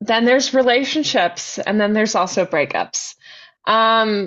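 A woman talks fairly slowly in an ordinary speaking voice, her pitch varying in an ordinary way. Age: 20s. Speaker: podcast host. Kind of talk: casual chat.

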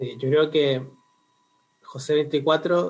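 A man with a somewhat breathy voice. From Chile, Concepción. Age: 20s. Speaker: university student and lay preacher. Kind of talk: casual chat.

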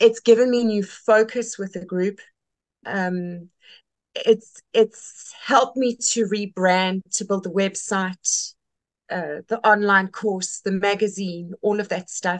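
A woman in a South African accent, medium pitch, very slow pace, dry and close sound with no echo. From South Africa, Western Cape. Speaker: textile community leader. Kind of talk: casual interview. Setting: video call. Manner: animated.

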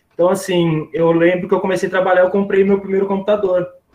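This is a man speaking. His pitch sits high. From Brazil, São Carlos (São Paulo state). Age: 30s. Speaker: filmmaker and video producer. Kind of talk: interview. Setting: live stream. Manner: hesitant, many fillers.

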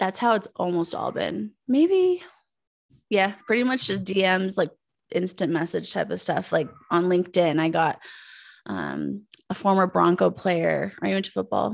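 On a very clean recording with a silent background, a woman with an American accent talks at a moderate pace. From Colorado, US. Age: 30s. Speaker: podcast host. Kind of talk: casual interview chat.

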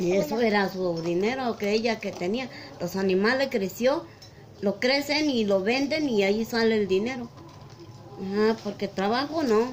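Noticeable background noise sits behind a woman speaking at a fairly high pitch and moderate pace with ordinary pitch variation. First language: Mixtec (speaking Spanish). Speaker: market vendor. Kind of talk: interview. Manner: halting.

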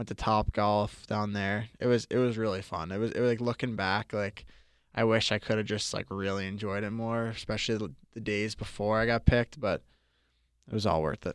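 A man's unremarkable speaking voice with an American accent, fairly low in pitch, fairly quick and fairly even in intonation, on a very clean recording with a silent background and a dry, close sound with no echo. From Boston. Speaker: college ice hockey player. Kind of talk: interview.

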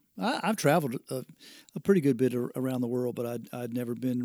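With a strong Southern US accent, a man speaks at a fairly quick pace in a medium pitch, with fairly even intonation and a dry, close sound with no echo. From US South, Spartanburg, South Carolina. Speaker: floor covering business owner. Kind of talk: casual interview. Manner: mumbling at times.

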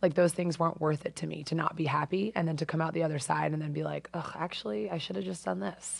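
A woman with an American accent talks at a very fast pace with hardly any pauses, her very deep, low voice showing vocal fry and very wide pitch swings. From US Northeast (Avon). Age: 30s. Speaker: competitive swimmer. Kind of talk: casual chat. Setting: studio. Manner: animated.

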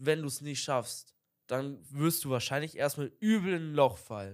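Over a silent background in a very clean recording, a man with an unremarkable speaking voice talks at a moderate pace and fairly high pitch, with ordinary pitch variation. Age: young. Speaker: podcast co-host. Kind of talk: casual chat. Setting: video podcast recording.

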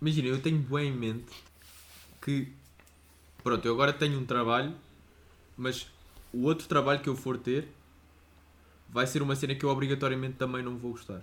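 The speaker is a man with a medium pitch and flat, monotone intonation. He talks at a fairly quick pace but takes long, frequent pauses. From Portugal. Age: 20s. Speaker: podcast co-host. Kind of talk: casual chat.

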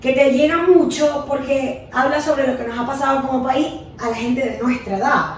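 A woman's high voice with fairly even intonation, audible room echo and noticeable background noise. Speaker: podcast co-host. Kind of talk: casual chat. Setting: home studio.

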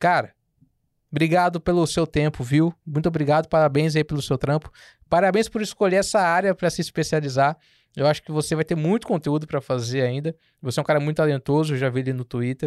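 A man at a very fast pace, fairly high in pitch with ordinary pitch variation, on a very clean, silent-background recording with a dry, close sound and no echo. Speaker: podcast host, journalist. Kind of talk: casual interview chat.

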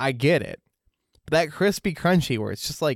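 A man with a normal speaking voice and a fairly high pitch uses lively intonation, with a dry, close sound, no echo, and a very clean recording with a silent background. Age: 30s. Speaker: podcast co-host. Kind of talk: casual chat.

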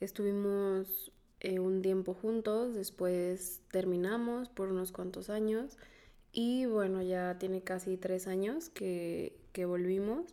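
A woman's dark, mellow voice at a medium pitch, very slow pace and fairly even intonation. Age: 20s. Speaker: podcast co-host. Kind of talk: casual chat.

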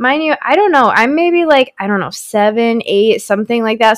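A woman speaks with very wide swings in pitch. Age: 20s. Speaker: podcast co-host. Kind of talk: casual chat. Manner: animated.

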